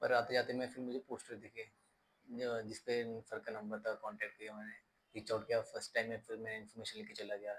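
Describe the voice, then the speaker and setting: His pitch is medium for a man. The intonation stays monotone and flat. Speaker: stammering course student giving testimonial. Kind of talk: testimony. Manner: slow, occasional hesitations.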